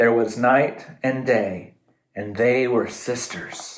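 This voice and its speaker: Using a put-on character voice, a man talks at a very slow pace and a medium pitch. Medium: read story.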